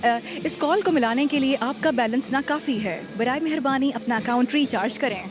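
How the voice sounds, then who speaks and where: A high-pitched female voice with ordinary pitch variation amid noticeable background noise. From Pakistan. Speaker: radio presenter and voice-over artist. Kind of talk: automated telephone network announcement.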